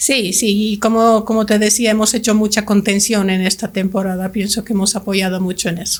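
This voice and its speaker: On a very clean recording with a silent background, a woman speaks fairly quickly with hardly any pauses, her medium-pitched, somewhat breathy voice flat and monotone. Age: 60s. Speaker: language school director. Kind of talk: podcast interview.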